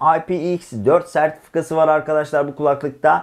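At a moderate pace, a man talks in a fairly high pitch with vocal fry. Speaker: tech reviewer. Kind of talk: product review.

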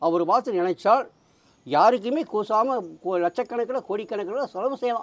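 With lively intonation, a man speaks at a high pitch. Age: 50s. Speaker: parrot astrologer. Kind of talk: interview. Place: street. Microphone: lapel.

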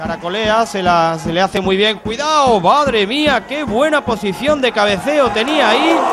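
A man with a high pitch speaks in an animated tone at a moderate pace. Crowd noise runs in the background. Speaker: football commentator. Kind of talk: live commentary. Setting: stadium commentary position.

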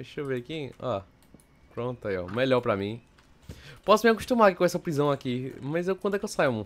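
This man talks fairly fast, his pitch leaping across a very wide range. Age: young. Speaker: gaming youtuber. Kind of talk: gameplay commentary. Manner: animated. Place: home room.

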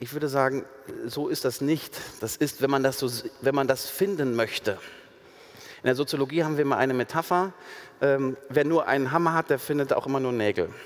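The man talks at a moderate pace and with fairly even intonation, the background quiet. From Ruhr area, Germany; Germany. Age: 40s. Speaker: sociologist; guest. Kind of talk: public panel conversation. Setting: stage with audience. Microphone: headset.

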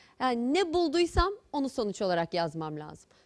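A woman speaks with a high pitch and very wide pitch swings. The background is quiet. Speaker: medical school lecturer. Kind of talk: lecture.

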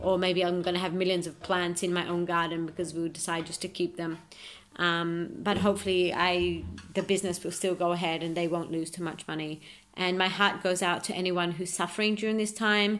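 The intonation is monotone and flat. Delivery moves at a fairly quick pace. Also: woman, fairly low pitch for a woman. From Australia. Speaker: amateur footballer. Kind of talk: self-recorded video monologue. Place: home room. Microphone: phone near.

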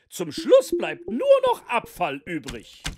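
A cartoonish character voice with a slightly mellow tone. It moves at a slow pace, with very wide pitch swings.

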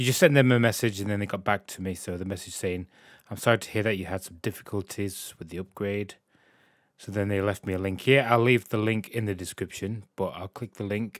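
With a British accent, a man talks at a fairly quick pace in a fairly low pitch, his intonation fairly even but his loudness swinging widely, on a very clean, dry, close recording with no echo and a silent background. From UK. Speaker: gaming YouTuber. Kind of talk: tutorial. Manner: casual, slightly halting.

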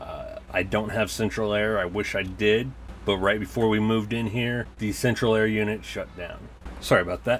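A man with a plain, everyday voice and a fairly low pitch speaks over light background noise. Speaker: toy collector reviewer. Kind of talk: casual review chat. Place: home room. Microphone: camera far.

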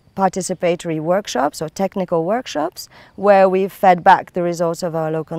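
Speaking at a moderate pace, a woman has a fairly low pitch, and the sound is dry with no echo. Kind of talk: interview answer. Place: open country. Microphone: lapel.

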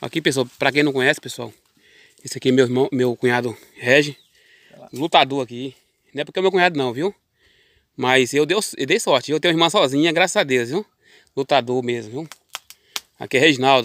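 In a dry recording with no echo and a quiet background, a man speaks at a fairly quick pace with ordinary pitch variation. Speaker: farm vlogger filming. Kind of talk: casual vlog chat. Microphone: phone near.

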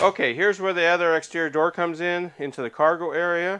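A high-pitched male voice at a moderate pace with ordinary pitch variation. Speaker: RV salesman. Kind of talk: product walkthrough tour.

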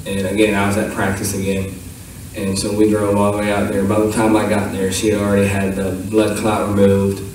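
In strong room echo, a man with a fairly low pitch and a slightly mellow tone speaks at a fairly quick pace in a monotone, flat intonation.

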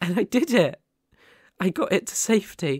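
A man speaks in a put-on character voice, high-pitched for a man, with a slightly husky edge and big pitch swings. The sound is dry and close with no echo, in a very clean recording with a silent background. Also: moderate pace.

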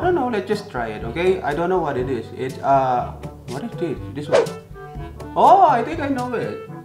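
With clear music in the background, a man with a Filipino accent talks at a moderate pace. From Philippines. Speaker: vlogger. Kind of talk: casual talk to camera. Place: home room. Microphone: phone near.

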